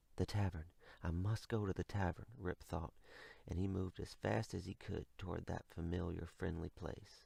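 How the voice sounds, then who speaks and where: A soft-spoken man with an American accent has a very deep, low pitch and a dark, mellow, somewhat breathy tone. He keeps a moderate pace, and the recording is very clean with a silent background. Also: ordinary pitch variation. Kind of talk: ASMR bedtime story reading. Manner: quiet, soft-spoken.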